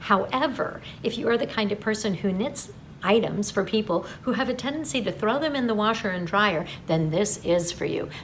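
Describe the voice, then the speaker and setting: Noticeable background noise sits under a woman's voice. She speaks with lively intonation and a fairly high pitch. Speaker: yarn shop staff presenting newsletter. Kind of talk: product announcement video. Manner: fast; chatty, animated.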